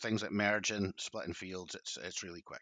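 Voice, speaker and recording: The sound is dry and close, with no echo. A man speaks very fast in a Scottish accent. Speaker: farm advisor. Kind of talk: casual chat.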